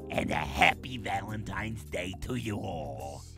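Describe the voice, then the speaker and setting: Putting on a cartoonish character voice, a man speaks at a very deep, low pitch and a moderate pace over loud background music. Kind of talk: comedic advice hotline. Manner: chatty, gleeful.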